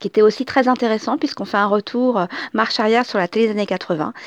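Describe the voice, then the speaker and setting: A woman's fairly high voice in a dry, close sound with no echo. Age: 40s. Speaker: podcaster. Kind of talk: casual monologue. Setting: at home. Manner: halting.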